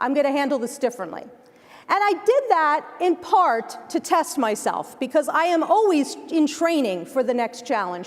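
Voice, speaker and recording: A woman talks in a New Jersey accent at a high pitch and moderate pace. Her tone is animated, with very wide pitch swings. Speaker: keynote speaker. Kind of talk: keynote speech. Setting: stage with audience.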